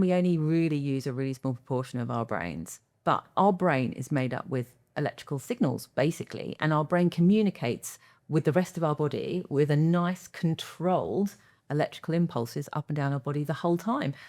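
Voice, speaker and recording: On a very clean recording with a silent background, a woman speaks at a fairly quick pace. Her pitch is very deep and low. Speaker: epilepsy nurse consultant and podcast host. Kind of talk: casual podcast chat. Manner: fast; animated.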